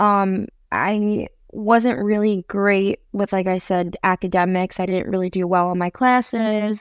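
This woman has an ordinary speaking voice with a medium pitch. She talks fairly slowly with fairly even intonation. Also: dry, close sound with no echo, very clean recording, silent background. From New York City. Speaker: singer-songwriter and actress. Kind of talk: interview. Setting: podcast interview.

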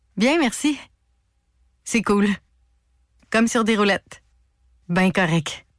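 Very slow, lively-toned speech with very even loudness and long, frequent pauses. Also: woman, medium pitch for a woman. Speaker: racing driver's mother, author. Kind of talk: radio interview. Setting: phone call.

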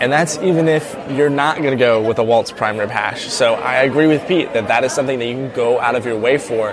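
A man with an American accent at a medium pitch, fairly quick, with ordinary pitch variation over crowd noise in the background. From US South, South Carolina. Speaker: food reviewer. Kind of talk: on-location food review. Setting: restaurant.

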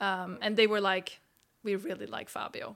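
A woman's medium-pitched voice, bright and sharp in tone with vocal fry, moves at a moderate pace with fairly even intonation. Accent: Swedish. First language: Swedish. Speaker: footballer and podcast host. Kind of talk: casual interview.

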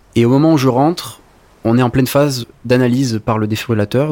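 This man talks at a very fast pace in a dark, mellow tone. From southern France, Var coast (Sanary-sur-Mer). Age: 20s. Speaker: lifeguard and nursing student. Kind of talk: testimony.

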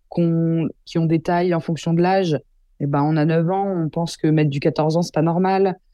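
A woman's voice, fairly low in pitch. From Paris region, Yvelines (Versailles). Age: 20s. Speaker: journalist and documentary maker. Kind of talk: interview. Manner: animated.

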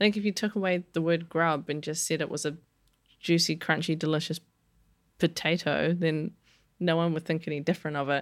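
On a very clean recording with a silent background, a woman with a New Zealand accent and a fairly low pitch talks at a fairly quick pace with fairly even intonation and long, frequent pauses. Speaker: chef. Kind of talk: interview.

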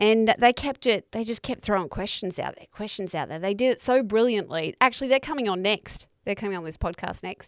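A woman with an Australian accent speaks fairly quickly at a fairly high pitch with hardly any pauses, her loudness swinging widely and her pitch varying an ordinary amount, in a dry, close sound with no echo. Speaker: comedian podcast host. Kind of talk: casual chat. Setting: video call.

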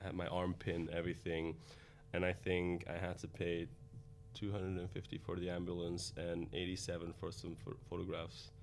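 Very deep and low in pitch, a man speaks at a moderate pace with fairly even intonation. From Belgium, Antwerp. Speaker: cosmetic doctor. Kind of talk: interview. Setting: studio.

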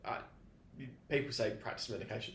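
A man speaks with vocal fry, and audible room echo surrounds his voice. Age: 30s. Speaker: podcast host. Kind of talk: casual chat. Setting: studio.

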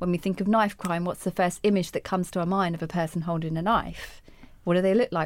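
A woman speaks at a fairly quick pace in a fairly low pitch. Her intonation is monotone and flat, and the recording is very clean with a silent background. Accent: southern English. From England, Hertfordshire. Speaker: anti-racism educator and life coach. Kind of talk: interview.

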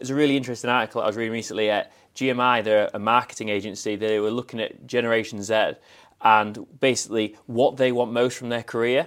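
The speech moves at a very fast pace in a monotone, flat intonation. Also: man, very clean recording, silent background. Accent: northern English. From northern England, Scarborough (Yorkshire). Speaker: travel industry manager. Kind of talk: casual interview. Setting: in-person recording at an event venue.

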